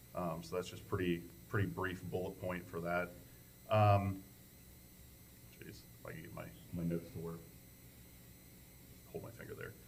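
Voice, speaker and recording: Audible room echo surrounds a voice with vocal fry, ordinary pitch variation, big swings in loudness and long, frequent pauses. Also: man, very deep, low pitch for a man, moderate pace. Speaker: township trustee. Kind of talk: public meeting report.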